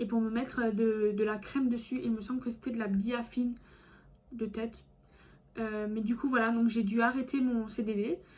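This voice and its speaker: A woman speaks in a fairly high, somewhat breathy voice. Her intonation is flat and monotone, with long, frequent pauses. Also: moderate pace. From France, Alsace. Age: 20s. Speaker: vlogger. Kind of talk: casual vlog monologue. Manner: hesitant, many fillers.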